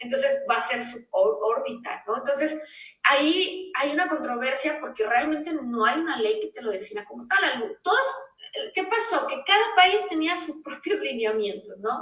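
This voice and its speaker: An animated voice at a moderate pace swings very widely in pitch and greatly in loudness. Noticeable background noise runs underneath. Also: woman, high pitch for a woman. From Mexico. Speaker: space lawyer. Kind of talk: interview.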